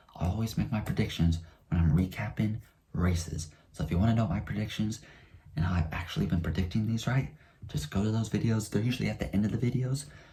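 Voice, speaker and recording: A man talks at a very fast pace in a very deep, low pitch, his dark, mellow tone carrying vocal fry and lively intonation. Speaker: NASCAR YouTuber. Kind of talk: casual race recap vlog.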